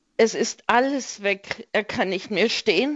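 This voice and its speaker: Ordinary pitch variation accompanies words delivered at a very slow pace. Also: woman. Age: 60s. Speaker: caller caring for sick husband. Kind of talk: radio call-in. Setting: phone call.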